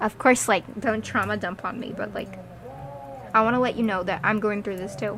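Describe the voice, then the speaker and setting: A woman talks at a moderate pace with a medium pitch. There is noticeable background noise. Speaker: vlogger. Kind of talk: unscripted personal monologue. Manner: halting, repeats words.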